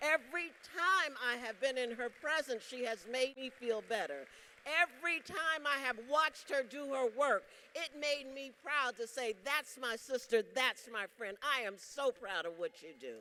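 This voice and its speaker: A woman with an American accent uses a raised, projected voice, high in pitch and lively in intonation, at a fairly slow pace. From South Carolina. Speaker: union leader. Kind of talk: convention speech. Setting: stage with audience. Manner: animated.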